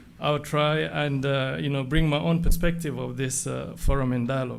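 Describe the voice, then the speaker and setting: A man's medium-pitched voice in a French accent, with ordinary pitch variation at a moderate pace and audible room echo. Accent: French-speaking. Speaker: foundation associate. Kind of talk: formal speech. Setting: stage with audience.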